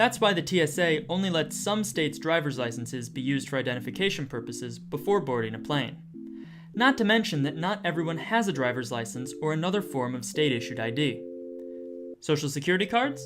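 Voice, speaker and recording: The speaker talks at a very fast pace with music playing in the background. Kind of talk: news narration.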